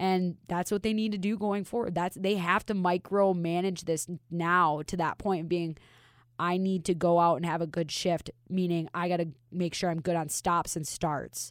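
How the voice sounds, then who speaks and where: A woman with an American accent speaks in an ordinary speaking voice at a fairly low pitch and moderate pace. Her intonation is fairly even, and the recording is very clean with a silent background. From Minnesota. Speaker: hockey reporter. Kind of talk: casual chat.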